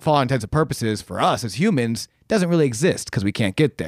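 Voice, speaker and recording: At a very fast pace, a man with an American accent talks at medium pitch with lively intonation, the sound dry and close with no echo on a very clean recording against a silent background. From Buffalo, New York. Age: 20s. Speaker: comedian and improviser. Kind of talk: casual chat. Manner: halting, many repeated words.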